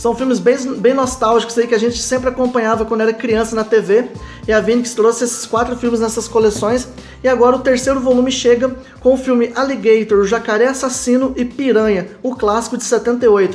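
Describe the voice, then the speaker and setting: Faint music plays in the background as someone speaks at a fairly quick pace. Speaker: DVD collector channel host. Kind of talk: unboxing commentary. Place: home room. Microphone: phone near.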